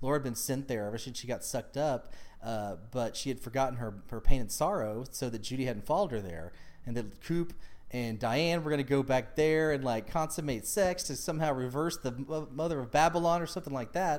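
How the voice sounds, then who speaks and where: A man's voice is pitched in the medium range. He talks with lively intonation. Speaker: podcast host. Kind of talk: casual chat. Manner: animated.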